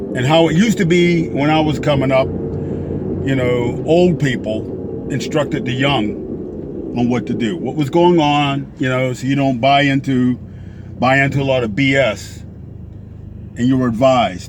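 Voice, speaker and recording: Spoken at a moderate pace with ordinary pitch variation, the voice comes through noticeable background noise and audible room echo. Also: man, medium pitch for a man. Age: 60s. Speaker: vlogger. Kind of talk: casual monologue. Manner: rambling with fillers.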